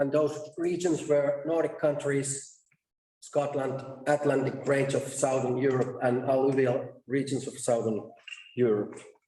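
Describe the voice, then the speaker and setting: A man's fairly high, somewhat breathy voice, dark and mellow in tone, flat and monotone at a fairly slow pace, with audible room echo. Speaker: conference presenter, research task leader. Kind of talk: conference presentation. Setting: stage at a conference.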